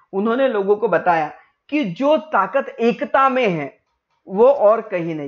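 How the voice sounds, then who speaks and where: This man talks at a very slow pace in a high pitch. His pitch swings very widely. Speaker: online teacher. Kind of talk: lecture. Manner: code-switching Hindi and English.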